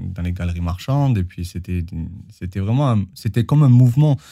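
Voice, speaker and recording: A man with a dark, mellow tone speaks at a moderate pace with lively intonation on a very clean recording with a silent background. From southern France, Perpignan. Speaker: choreographer and dancer. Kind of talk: interview.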